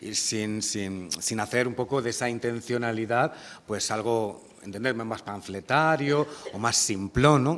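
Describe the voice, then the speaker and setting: This is a man with an ordinary speaking voice at medium pitch. His intonation is lively. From Granada province, Spain. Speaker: poet and interviewer. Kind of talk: public literary conversation. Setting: university lecture hall with audience.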